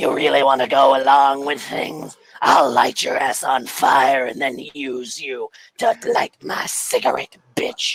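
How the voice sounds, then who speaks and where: A put-on character voice growls along at a fairly slow pace. It sits at a low-to-middle pitch and sounds raspy. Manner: threatening, aggressive.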